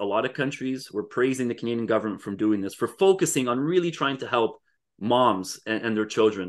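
A man's medium-pitched voice at a fairly quick pace over a quiet background. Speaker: podcast co-host. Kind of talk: casual chat. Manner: hesitant, many filler words.

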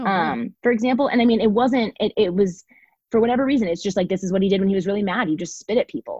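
A woman talks at a very fast pace with an American accent, a medium pitch and ordinary pitch variation. Her tone is dark, mellow and somewhat breathy, in a dry, close sound with no echo. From Texas, Dallas Fort Worth. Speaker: educator, learning community founder. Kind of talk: casual interview.

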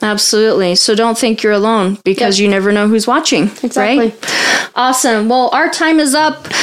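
A woman with a fairly high voice talks at a fairly quick pace with hardly any pauses. Her loudness stays very even over noticeable background noise. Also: ordinary pitch variation. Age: 30s. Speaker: podcast host, abuse survivor advocate. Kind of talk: casual interview.

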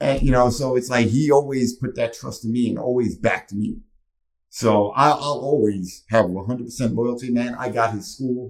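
A man with a plain, everyday voice, medium pitch, fairly even intonation and a fairly slow pace. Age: 30s. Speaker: independent professional wrestler and podcast co-host. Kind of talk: casual chat.

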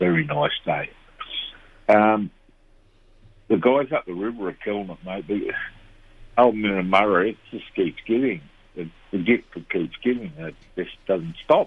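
A man with an Australian accent speaks at a fairly slow pace in a fairly low voice, leaving long, frequent pauses. His loudness swings widely. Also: ordinary pitch variation. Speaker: fishing reporter. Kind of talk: casual chat.

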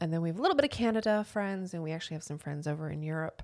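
An ordinary speaking voice with ordinary pitch variation on a very clean recording, silent background. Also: woman. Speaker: podcast host. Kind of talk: casual chat. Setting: studio.

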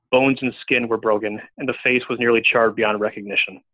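Delivered at a fairly quick pace, an unremarkable speaking voice keeps its intonation fairly even. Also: man. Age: 30s. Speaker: author. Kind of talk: casual chat; reading aloud.

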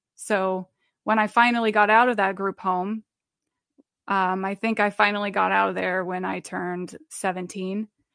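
In a US Midwestern accent, a woman speaks with monotone, flat intonation in a dry, close sound with no echo and a quiet background. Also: medium pitch for a woman, moderate pace. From Nebraska, US Midwest. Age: 30s. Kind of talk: testimony. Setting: video call.

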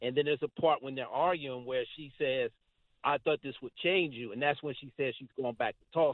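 A man with an American accent talks fairly quickly in an ordinary speaking voice, his pitch fairly high. His intonation stays fairly even, though his loudness swings widely. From Philadelphia. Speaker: caller. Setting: phone call.

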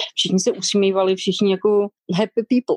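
A woman speaks in a plain, everyday voice at medium pitch and a moderate pace, with ordinary pitch variation. The recording is dry and close, with no echo. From Czech Republic, Šumava region. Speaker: restaurant owner. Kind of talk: interview.

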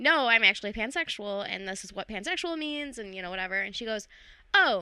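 On a very clean recording with a silent background, a woman speaks at a fairly high pitch in a bright, sharp, animated tone with very wide pitch swings. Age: 30s. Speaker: comedian. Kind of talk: casual chat.

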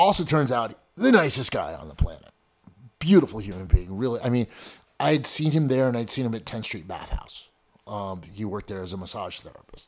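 A fairly quick pace with very wide pitch swings and big swings in loudness. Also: man, medium pitch for a man. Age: 50s. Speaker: martial arts coach and gym owner. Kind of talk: casual interview. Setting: in-person studio interview. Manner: halting, many repeated words.

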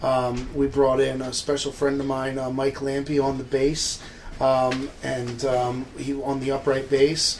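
A man with an American accent, medium pitch, monotone and flat intonation and a fairly slow pace, over noticeable background noise. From New Jersey, Trenton. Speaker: blues harmonica player and bandleader. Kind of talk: interview.

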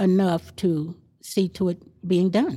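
A woman speaks with a Texas accent in a dark, mellow tone. The recording is very clean, with a silent background. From Texas Panhandle. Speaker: neighborhood association president. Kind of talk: interview.

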